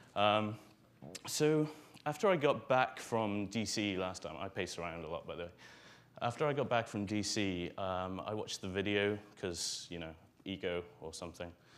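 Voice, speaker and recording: In a Welsh accent, a man with a fairly low pitch talks at a moderate pace with ordinary pitch variation and audible room echo. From Wales. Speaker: conference speaker, software author. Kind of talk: conference talk. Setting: stage with audience. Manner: hesitant, many fillers.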